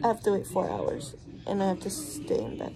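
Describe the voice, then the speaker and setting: Noticeable background noise is present. The woman speaking keeps a moderate pace. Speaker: expectant mother vlogger. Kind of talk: casual vlog chat. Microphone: phone near.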